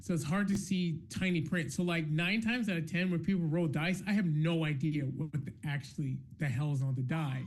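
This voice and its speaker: Fairly quick and with hardly any pauses, a man in an American accent speaks at a fairly high pitch with ordinary pitch variation, very even loudness and audible room echo. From US South, North Carolina (Charlotte). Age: 30s. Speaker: game master and convention host. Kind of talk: live-streamed interview. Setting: live stream.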